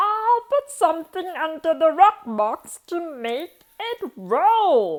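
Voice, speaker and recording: A woman does a put-on character voice at an extremely high pitch, moving at a very slow pace with very wide pitch swings. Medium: read story.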